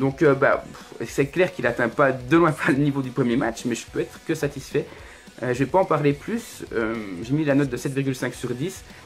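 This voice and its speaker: Fairly high male voice with ordinary pitch variation, music in the background. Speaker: wrestling YouTuber reviewing events. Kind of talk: solo video review, casual commentary. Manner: hesitant, many fillers; fast.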